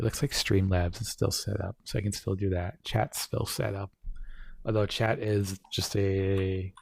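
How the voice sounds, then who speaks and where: In a very clean recording with a silent background, a man speaks fairly slowly in a fairly low, somewhat breathy voice with monotone, flat intonation. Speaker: streamer. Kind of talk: casual chat. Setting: live stream from home. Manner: soft-spoken.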